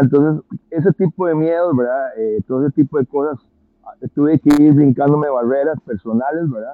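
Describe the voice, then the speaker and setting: This man talks at a fairly quick pace in an unremarkable speaking voice. His pitch sits fairly high. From Costa Rica. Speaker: musician and music educator. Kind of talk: interview conversation.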